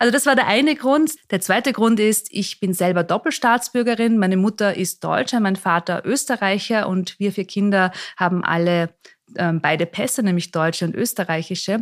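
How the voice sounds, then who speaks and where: A woman with an ordinary speaking voice talks at a medium pitch with lively intonation and very even loudness, in a very clean recording with a silent background. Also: moderate pace. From Austria, Mondsee near Salzburg. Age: 40s. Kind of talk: interview. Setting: bar in Salzburg, in person.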